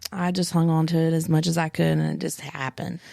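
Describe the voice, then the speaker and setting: A woman's fairly low voice with a slight Southern US accent. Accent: slight Southern accent picked up over years. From West Virginia, Morgantown. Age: 30s. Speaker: adoptee and foster parent. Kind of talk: interview.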